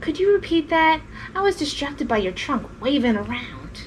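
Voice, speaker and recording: Someone uses a high-pitched, put-on character voice over clear background noise. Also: moderate pace. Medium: read story.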